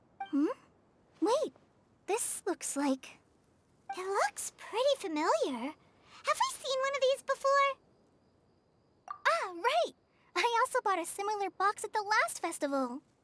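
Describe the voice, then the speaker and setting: This put-on character voice sits at an extremely high pitch with very wide pitch swings. It goes at a fairly slow pace, broken by long, frequent pauses. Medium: video game. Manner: thoughtful, musing.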